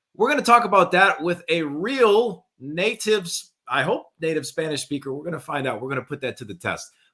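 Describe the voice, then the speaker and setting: A man talks at a fairly quick pace with a high pitch. His pitch swings very widely, and his loudness rises and falls in big swings. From US South, New Orleans area. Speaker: talk show host, former Spanish teacher. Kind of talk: live talk show interview. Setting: live stream.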